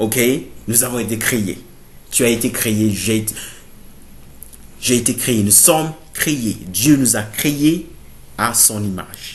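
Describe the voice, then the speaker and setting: Very slowly and with long, frequent pauses, a man speaks at a medium pitch with ordinary pitch variation and a somewhat breathy voice, with audible room echo. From Burkina Faso. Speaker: theology student, preacher. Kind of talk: sermon-style bible teaching to camera. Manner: halting, many fillers.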